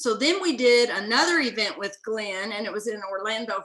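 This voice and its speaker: An animated woman with a Southern US accent, fairly high in pitch, at a fairly quick pace with ordinary pitch variation. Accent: Southern twang. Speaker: business owner. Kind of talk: interview.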